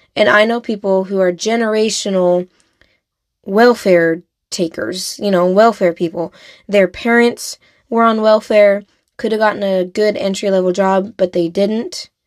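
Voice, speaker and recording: With an American accent and a normal speaking voice, a woman speaks at medium pitch and a fairly slow pace with fairly even intonation, the sound dry and close with no echo. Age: 20s. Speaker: podcast host. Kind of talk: solo podcast monologue.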